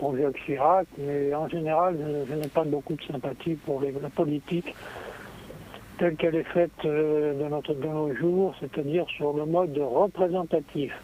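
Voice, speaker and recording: A man with a fairly high voice talks at a fairly slow pace. His intonation stays fairly even against noticeable background noise. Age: 80s+. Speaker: radio caller. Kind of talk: casual chat. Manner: halting.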